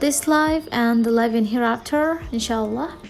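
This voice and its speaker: Noticeable background noise runs under the recording. A woman talks with an Indonesian accent. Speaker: new YouTuber. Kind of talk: channel introduction vlog. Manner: halting.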